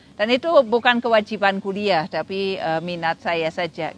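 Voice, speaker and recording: In a German accent, the voice comes through dry and close with no echo, over a quiet background. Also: woman. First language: German (speaking Indonesian). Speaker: literary critic and lecturer. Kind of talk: interview. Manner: hesitant, many fillers.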